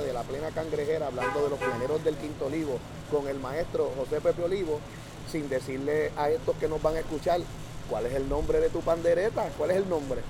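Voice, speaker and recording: Noticeable background noise sits behind a man talking at a fairly quick pace. His pitch varies in an ordinary way. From Puerto Rico, Santurce (San Juan). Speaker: podcast host and plena musician. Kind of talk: casual interview. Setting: outdoors in the neighborhood at night.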